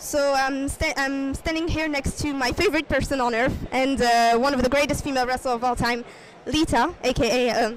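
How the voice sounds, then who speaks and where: A woman with a non-native accent speaks at a fairly quick pace in a high pitch, over noticeable background noise. Her loudness stays very even, and her intonation is fairly even. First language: not English. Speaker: YouTuber interviewing wrestler. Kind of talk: casual vlog intro; interview. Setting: comic convention. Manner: hesitant.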